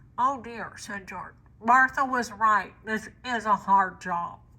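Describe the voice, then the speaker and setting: A woman's put-on character voice, nasal and fairly high, fairly slow, with fairly even intonation and big swings in loudness. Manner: squeezed, as if through a megaphone against the nose.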